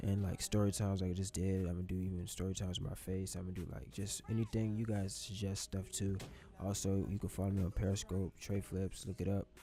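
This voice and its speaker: A man with a very deep, low pitch and a dark, mellow tone talks at a very fast pace, somewhat breathy, with monotone, flat intonation. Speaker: YouTuber, gaming commentator. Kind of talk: casual storytime vlog over gameplay.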